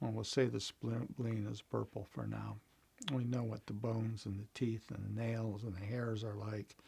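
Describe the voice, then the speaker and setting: A man speaks at a moderate pace with a fairly low, somewhat breathy voice and a dark, mellow tone. His intonation is monotone and flat. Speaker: meditation teacher. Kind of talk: guided meditation instruction. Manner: casual, hesitant.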